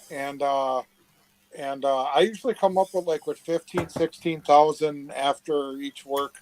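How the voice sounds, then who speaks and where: Here is a man with an unremarkable speaking voice, pitched fairly high. He talks at a fairly slow pace with fairly even intonation. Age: 60s. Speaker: relative of a case subject. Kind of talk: casual chat. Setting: live video chat.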